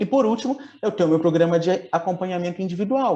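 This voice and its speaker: A man speaks fairly quickly in a high pitch with ordinary pitch variation. His tone is dark and mellow. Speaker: business coach. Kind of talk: webinar sales pitch. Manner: animated.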